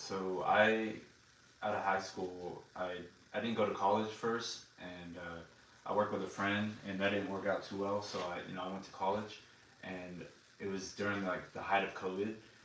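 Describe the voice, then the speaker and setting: Monotone, flat intonation in a Texan accent at a fairly quick pace, with audible room echo. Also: man, fairly low pitch for a man. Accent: Texan American. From Texas. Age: 20s. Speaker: Air Force member. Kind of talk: interview. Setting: video recording. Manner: halting.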